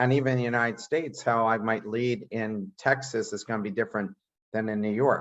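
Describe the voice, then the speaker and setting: A man talks at a fairly quick pace in a medium-pitched voice with fairly even intonation. It is a plain, everyday voice. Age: 60s. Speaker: podcast host and entrepreneur. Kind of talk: interview conversation.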